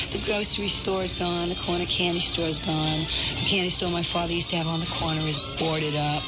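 A woman with an American accent at a very fast pace, over loud background noise. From New York City. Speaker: rock singer and record producer. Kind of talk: radio interview answer. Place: studio. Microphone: old recording.

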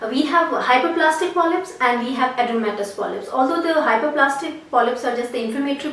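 A woman talks at a fairly quick pace in a high pitch, her tone fairly bright and her intonation lively. Room echo is audible.

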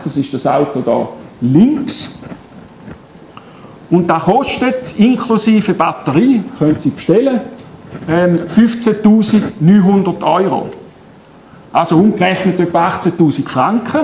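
Amid audible room echo and light background noise, a high-pitched man with a Swiss accent speaks at a very slow pace, with lively intonation and long, frequent pauses. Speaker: solar energy company head. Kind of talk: public lecture. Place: hall. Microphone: camera far.

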